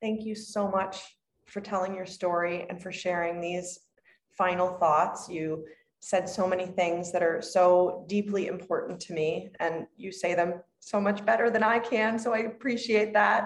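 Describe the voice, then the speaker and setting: In a plain, everyday voice, a woman speaks at a fairly slow pace and a medium pitch. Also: fairly even intonation. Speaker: podcast host and midwife. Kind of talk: interview intro and conversational interview.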